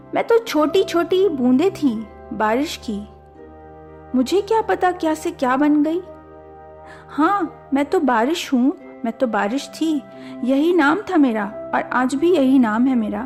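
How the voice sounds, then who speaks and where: Backed by music, a woman speaks at a high pitch with very wide pitch swings. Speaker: poet. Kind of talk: poetry reading.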